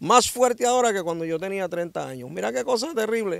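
A man with a high voice speaks with lively intonation, the sound dry with no echo and the background quiet. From Dominican Republic, San Pedro de Macorís; Dominican Republic. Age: 60s. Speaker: ex-prisoner giving testimony; interviewee. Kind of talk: interview testimony; interview answer. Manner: animated. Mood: cheerful, animated storytelling. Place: open country. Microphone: handheld.

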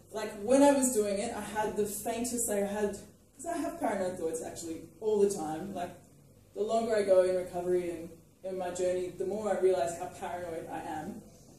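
A woman talks at a fairly quick pace with a dark, mellow tone, medium pitch and fairly even intonation, her voice carrying strong room echo.

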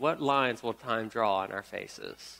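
In an American accent, a man speaks at a fairly slow pace with a bright, sharp tone. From US South, Memphis, Tennessee; Tennessee. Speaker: pastor. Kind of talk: sermon. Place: church.

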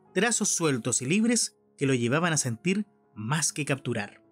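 A man speaks at a moderate pace, his pitch swinging very widely, while music plays in the background. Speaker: radio announcer. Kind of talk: audio description of an artwork, museum podcast narration.

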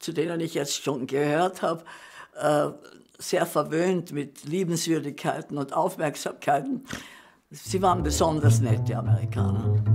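A woman's very deep, low voice at a fairly slow pace, with lively intonation and music in the background. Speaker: actress, postwar witness. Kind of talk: interview answer, recalling the postwar years.

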